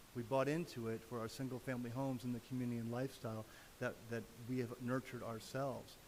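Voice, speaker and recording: A man talking at a fairly quick pace. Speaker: public commenter at council meeting. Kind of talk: public comment. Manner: fast.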